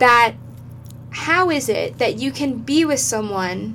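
A woman's voice is heard with noticeable background noise. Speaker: podcast co-host. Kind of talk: casual chat.

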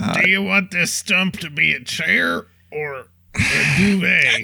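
A raspy, high-pitched put-on character voice from a man, at a fairly slow pace. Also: ordinary pitch variation. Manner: exaggerated, attention-seeking.

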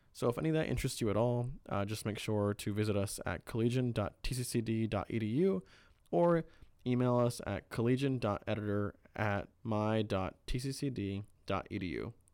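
At a fairly quick pace, a man talks in a plain, everyday voice with medium pitch and ordinary pitch variation. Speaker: student newspaper editor and podcast co-host. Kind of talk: casual chat.

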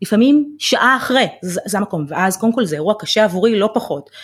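A woman's ordinary speaking voice, medium in pitch with lively intonation, at a fairly quick pace on a very clean recording with a silent background. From Israel, Ramla. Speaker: financial planner. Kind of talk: interview.

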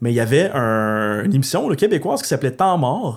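A man's voice with lively intonation. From Gatineau, Outaouais, Quebec. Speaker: post-apocalyptic enthusiast and larp organizer. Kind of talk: casual chat.

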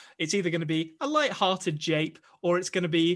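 Speaking with an English accent, a man keeps a fairly quick pace and fairly even intonation. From England. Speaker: podcast host. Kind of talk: casual chat. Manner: joking.

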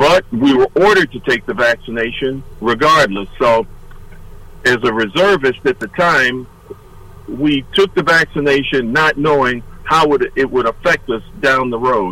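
Bright and sharp in tone, a man with an American accent talks at medium pitch with lively intonation. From Detroit, Michigan. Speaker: army veteran and retired state trooper. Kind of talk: radio interview.

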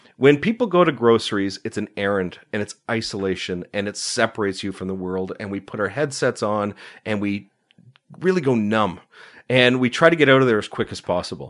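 A man with a Canadian accent talks at medium pitch against a quiet background. His pace is fairly quick and his intonation lively. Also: big swings in loudness. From Ontario, Canada (Uxbridge area, near Toronto). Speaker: food preservation blogger and cookbook author. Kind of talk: casual interview. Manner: articulate.

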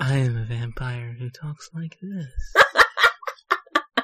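The speaker uses a put-on character voice at a middle pitch. The pace is very slow. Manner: theatrical, drawn-out.

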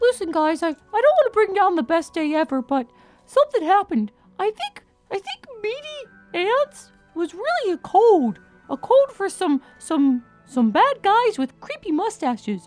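A female-sounding put-on character voice speaks at an extremely high pitch with very wide pitch swings. The pace is fairly slow, with faint music in the background. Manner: urgent, pleading.

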